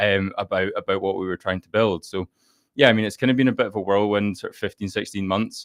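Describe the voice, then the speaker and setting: A man with a Scottish accent speaks at a very fast pace and fairly low pitch, with fairly even intonation but big swings in loudness. The sound is dry and close with no echo, over a quiet background. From Scotland, Fife. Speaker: startup founder. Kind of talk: podcast interview. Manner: halting, many repetitions.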